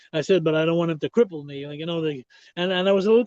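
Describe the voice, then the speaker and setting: A man talking at a very fast pace, the sound dry and close with no echo. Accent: Quebec. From Quebec, Montreal. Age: 60s. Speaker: retired pro wrestler. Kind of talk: podcast interview, storytelling.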